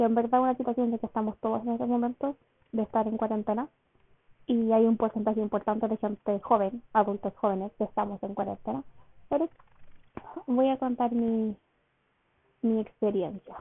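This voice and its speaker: A woman with a Chilean accent speaks at a fairly quick pace in a fairly high pitch. Her intonation stays fairly even, broken by long, frequent pauses. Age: 20s. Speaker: podcaster and university student. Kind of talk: casual solo monologue.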